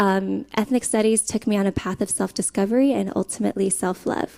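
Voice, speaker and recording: Fairly high-pitched woman, dark, mellow tone, ordinary pitch variation and a moderate pace. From Guam. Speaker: scholarship alumna, project manager. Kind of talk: conference panel talk.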